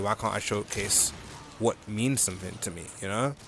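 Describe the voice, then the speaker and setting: Over noticeable background noise, a man speaks quietly at a fairly quick pace, his medium pitch carried by fairly even intonation. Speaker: gaming video diarist. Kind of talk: casual vlog chat while gaming. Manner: quiet, relaxed; halting with restarts.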